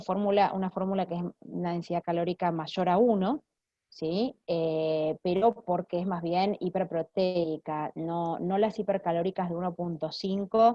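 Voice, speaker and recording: A woman with an ordinary speaking voice at medium pitch speaks at a fairly slow pace with fairly even intonation. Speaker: clinical nutritionist. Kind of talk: Q&A after a lecture.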